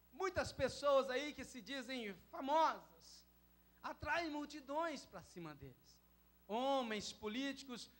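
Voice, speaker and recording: The pace is very slow. A man speaks at an extremely high pitch. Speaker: pastor. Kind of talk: sermon. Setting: church.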